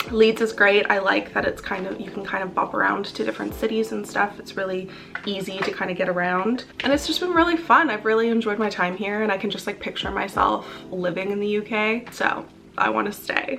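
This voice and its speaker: A woman with a Canadian accent at a medium pitch, speaking at a fairly quick pace with ordinary pitch variation, music in the background. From western Canada (Calgary, Alberta). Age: 20s. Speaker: beauty vlogger. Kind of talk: casual chat while doing makeup. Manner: casual, chatty.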